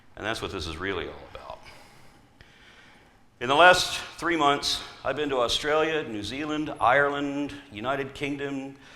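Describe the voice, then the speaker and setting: A man with an American accent speaks at a fairly high pitch in an animated tone, his loudness swinging widely. He leaves long, frequent pauses, and room echo is audible. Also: ordinary pitch variation, moderate pace. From US South. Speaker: atheist activist speaker. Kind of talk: conference talk.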